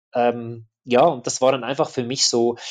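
Over a quiet background, a man with an unremarkable speaking voice talks at a medium pitch and a moderate pace. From Switzerland. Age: 40s. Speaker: adventure and action photographer. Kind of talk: interview.

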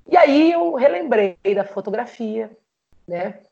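A woman at medium pitch and a very slow pace. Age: 30s. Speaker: photographer and musician. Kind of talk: personal life story in interview.

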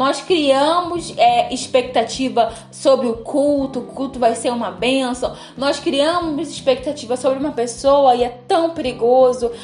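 At a fairly slow pace, a woman talks in a high pitch with an animated tone and ordinary pitch variation. Noticeable background noise is present. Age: 20s. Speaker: podcast host. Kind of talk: casual chat.

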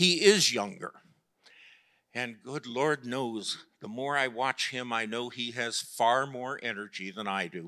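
Against a silent background in a very clean recording, a man with an American accent speaks at medium pitch in a bright, sharp tone with ordinary pitch variation. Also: fairly slow pace. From US Midwest, Chicago. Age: 70s. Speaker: pastor. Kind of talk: sermon. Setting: church.

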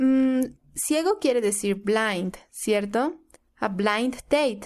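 A woman with a Spanish accent speaks at a very slow pace in a fairly high pitch, with lively intonation. Her loudness stays very even over a quiet background. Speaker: English learner. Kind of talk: language lesson role-play.

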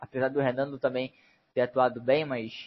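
His voice sits at a fairly high pitch. The man keeps a moderate pace. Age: 20s. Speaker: football fan commentator. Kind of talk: casual chat.

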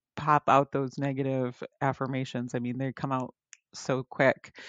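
In a dry, close recording with no echo, a woman speaks with a very deep, low pitch. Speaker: podcast host. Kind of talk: casual chat.

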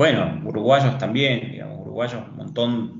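A man of medium pitch speaks at a moderate pace, with audible room echo and noticeable background noise. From Tucumán, Argentina. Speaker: entrepreneur. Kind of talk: interview. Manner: halting, many repetitions.

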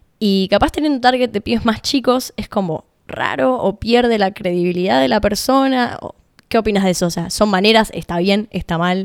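Here a woman uses an ordinary speaking voice at a medium pitch. Her pace is moderate and her intonation lively. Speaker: podcast editor. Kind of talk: interview.

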